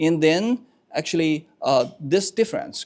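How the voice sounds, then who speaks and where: Speaking in a Chinese accent, the man keeps to a moderate pace. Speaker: professor. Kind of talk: panel response. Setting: bookstore lecture with audience. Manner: halting, many fillers.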